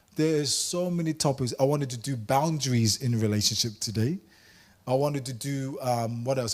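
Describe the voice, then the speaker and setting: Animated, somewhat breathy man at a medium pitch and moderate pace, with ordinary pitch variation, in a very clean recording with a silent background. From Samoa. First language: Samoan. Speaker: workshop presenter. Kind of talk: workshop talk.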